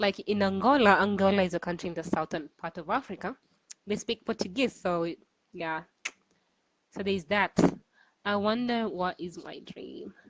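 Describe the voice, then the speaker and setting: A woman with a Kenyan accent and medium pitch speaks at a moderate pace with ordinary pitch variation and long, frequent pauses. Her loudness swings widely, and the sound is dry and close with no echo. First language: Swahili. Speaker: cultural guide. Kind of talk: online Q&A. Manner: hesitant.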